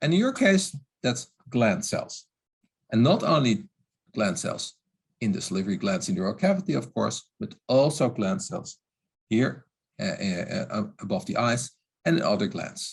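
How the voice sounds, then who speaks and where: Pausing long and often, a man with vocal fry speaks at a moderate pace in a fairly high pitch that makes very wide swings. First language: not English. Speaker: oral health expert. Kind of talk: webinar lecture. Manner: halting.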